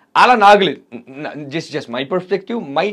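A man is heard against a quiet background. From Rayalaseema, Andhra Pradesh; Andhra Pradesh. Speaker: actor; actor interview guest. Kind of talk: interview. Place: studio. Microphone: lapel.

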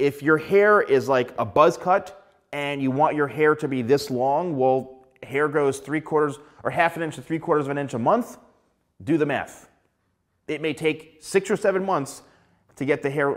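A man's voice shows ordinary pitch variation. Behind him, all is quiet. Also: moderate pace. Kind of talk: tutorial. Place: studio. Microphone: lapel.

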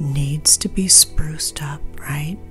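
Over clear music in the background, a woman speaks very slowly with fairly even intonation. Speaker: witch, tarot reader. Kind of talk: ASMR Q&A, answering viewer questions. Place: home room.

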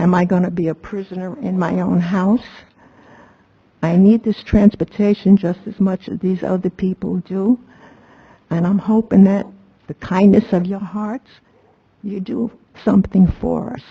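A woman with a medium-pitched, somewhat breathy voice speaks at a moderate pace, with big swings in loudness and long, frequent pauses. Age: 80s+. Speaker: elderly resident speaking at public comment. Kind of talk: public comment at town council meeting. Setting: town council meeting.

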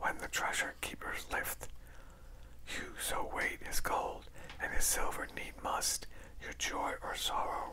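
Soft-spoken whispering comes at a very slow pace with long, frequent pauses over loud background noise. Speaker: reader. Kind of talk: reading aloud from a book. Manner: soft whispered ASMR reading.

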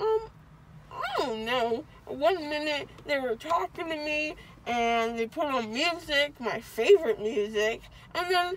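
Over light background noise, a woman speaks at a fairly slow pace in a high voice with lively intonation, the sound dry with no echo. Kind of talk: casual rambling chat, groggy. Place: car. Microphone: phone near.

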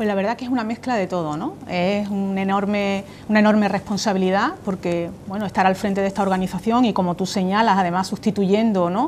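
The speech moves at a moderate pace with fairly even intonation. Light background noise sits behind it. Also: woman. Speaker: consumer association president. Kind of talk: TV interview answer. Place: studio. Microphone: lapel.

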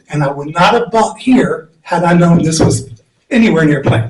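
A man with a high pitch for a man speaks at a moderate pace. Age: 60s. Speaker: resident giving public comment. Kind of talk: public comment at county meeting.

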